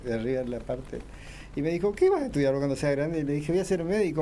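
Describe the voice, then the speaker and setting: Very fast and with very wide pitch swings, a man talks in a dark, mellow tone. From Argentina, Corrientes. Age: 60s. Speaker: oncological surgeon and professor. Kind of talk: radio interview.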